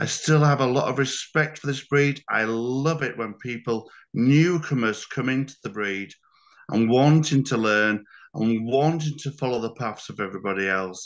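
Against a quiet background, a man with a British accent speaks at a moderate pace in a medium pitch with ordinary pitch variation. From UK. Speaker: dog breeder and show judge. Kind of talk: webinar roundtable discussion.

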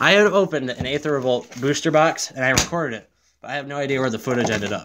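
A man's fairly high voice at a very fast pace, against noticeable background noise. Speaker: gaming YouTuber opening card packs. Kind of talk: casual video rant about a bad drive-through order, amid a card pack opening. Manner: irritated, complaining, rambling; filler-heavy, self-correcting. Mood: annoyed storytelling rant. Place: home room. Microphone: phone near.

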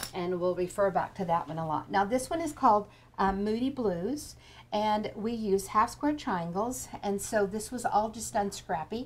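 Using an ordinary speaking voice, a woman speaks at a moderate pace with a medium pitch and lively intonation. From Kansas. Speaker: quilting teacher. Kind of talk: tutorial. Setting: live webinar.

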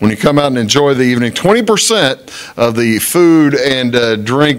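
A man speaks at a moderate pace. Behind him the background stays quiet. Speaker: local talk show host. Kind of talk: community announcements read aloud. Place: studio. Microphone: studio mic.

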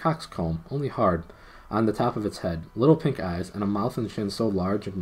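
The intonation moves in a lively way. The reading voice is unforced.

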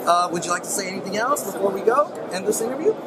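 Lively intonation and a fast pace come through over clear background noise. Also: man, high pitch for a man.

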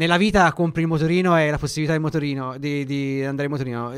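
Speaking at a very fast pace, a man with a fairly high voice keeps his intonation fairly even against a quiet background. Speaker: sports radio host. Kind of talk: radio interview. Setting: studio. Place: studio.

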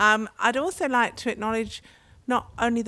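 A woman with an English accent talks at a moderate pace with ordinary pitch variation, the sound dry with no echo. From England, London. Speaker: mayor. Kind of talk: opening speech. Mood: warm, upbeat. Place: tent. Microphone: handheld.

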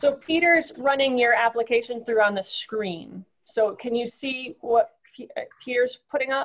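Here a woman talks fairly slowly in a high voice with ordinary pitch variation. The background is quiet. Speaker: commission chair. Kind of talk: public meeting. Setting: video call. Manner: formal. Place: home room. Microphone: video call.

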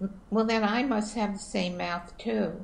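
Speaking at a fairly slow pace, a woman uses vocal fry and fairly even intonation. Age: 70s. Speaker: interviewee mother of the filmmaker; interviewee. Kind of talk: casual chat. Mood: warm, wry. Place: home room. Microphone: video call.

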